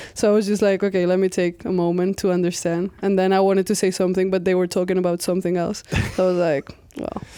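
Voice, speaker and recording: A woman with a Spanish accent talks at a very fast pace in a medium pitch, her intonation monotone and flat, with noticeable background noise. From Spain, Catalonia. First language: Spanish/Catalan. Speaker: college basketball player. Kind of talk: casual interview.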